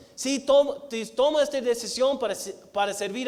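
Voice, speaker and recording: This is a man speaking with an American accent. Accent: American accent in Spanish, mocked by family. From United States. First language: English (speaking Spanish). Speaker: missionary preacher. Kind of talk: sermon. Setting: church. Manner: halting, with many repetitions and fillers.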